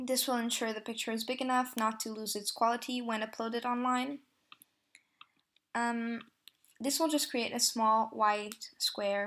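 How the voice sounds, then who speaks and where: A woman with a non-native accent, a fairly high pitch, monotone, flat intonation and long, frequent pauses. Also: fairly slow pace. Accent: non-native accent, self-described bad. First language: not English. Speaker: tutorial creator, photo editor. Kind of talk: tutorial. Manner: hesitant, many fillers.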